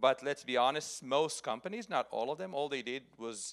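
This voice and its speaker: A man's medium-pitched voice in an Israeli accent, at a moderate pace with ordinary pitch variation and a dry, close sound with no echo. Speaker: software security executive. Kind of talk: conference talk.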